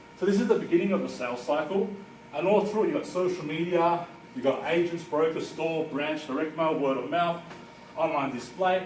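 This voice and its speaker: A man talks at a fairly quick pace with a high pitch. Noticeable background noise and audible room echo fill the recording. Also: ordinary pitch variation. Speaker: marketing consultant. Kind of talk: presentation. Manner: fast.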